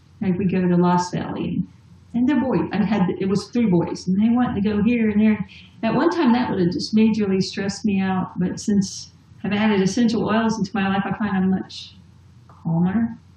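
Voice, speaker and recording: A woman talks at a moderate pace and medium pitch with ordinary pitch variation, and noticeable background noise can be heard. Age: 50s. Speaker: essential oils distributor. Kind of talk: casual chat.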